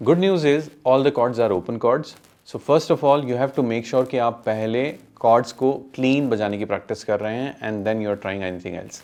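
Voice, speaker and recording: Speaking at a moderate pace, a man with an Indian accent uses a medium pitch and ordinary pitch variation. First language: Hindi. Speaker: guitar teacher. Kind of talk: tutorial.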